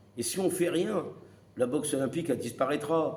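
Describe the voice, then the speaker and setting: A fairly high-pitched man at a moderate pace, with audible room echo. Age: 60s. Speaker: retired boxing coach. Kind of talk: opinion monologue to camera. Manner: animated; halting.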